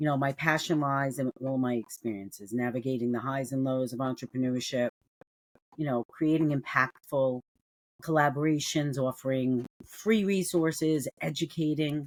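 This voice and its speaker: A woman with a New York accent speaks at a very deep, low pitch, the sound dry and close with no echo. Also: ordinary pitch variation, moderate pace. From New York City. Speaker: cybersecurity entrepreneur. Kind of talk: casual interview. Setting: remote call. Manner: animated.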